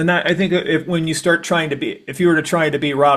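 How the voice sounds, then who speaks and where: At a fairly quick pace, a man talks in a plain, everyday voice with ordinary pitch variation. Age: 60s. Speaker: podcast host. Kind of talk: casual interview chat.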